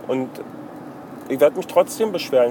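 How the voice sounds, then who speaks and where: A man talks with lively intonation. Noticeable background noise runs underneath. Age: 30s. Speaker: video blogger. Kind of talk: casual monologue. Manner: halting, many fillers.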